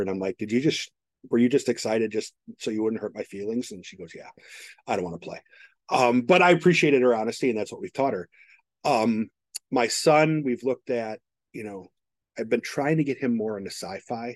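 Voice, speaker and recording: A man with an ordinary speaking voice talks at medium pitch and a fairly quick pace, with ordinary pitch variation and big swings in loudness, in a dry, close sound with no echo. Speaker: podcast host, technology professional. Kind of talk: casual chat.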